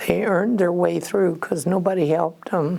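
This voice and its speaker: With noticeable background noise behind her, a woman speaks fairly slowly at a fairly low pitch, her intonation fairly even. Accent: American. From Iowa, US Midwest. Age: 80s+. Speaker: retired cook. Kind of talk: interview answer.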